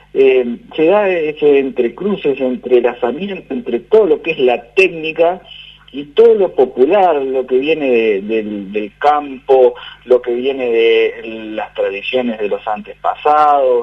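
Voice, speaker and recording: In an unremarkable speaking voice, a man with a fairly high pitch speaks at a fairly slow pace with lively intonation. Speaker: radio interviewer. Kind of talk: radio interview question.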